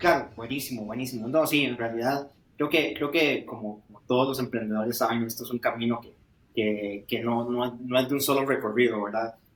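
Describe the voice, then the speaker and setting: Someone with a Costa Rican accent speaks at a fairly quick pace with fairly even intonation. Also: man. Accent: Costa Rican accent, noticeable. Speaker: startup founder, industrial engineer. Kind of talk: interview.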